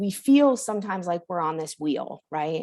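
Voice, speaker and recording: A woman speaks at a fairly quick pace with very wide pitch swings. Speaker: workshop trainer. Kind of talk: online training session. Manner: fast.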